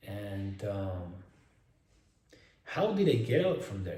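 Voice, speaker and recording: In a Spanish accent, a man speaks with audible room echo. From Spain. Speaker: self-improvement influencer. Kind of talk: casual vlog monologue. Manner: animated; halting.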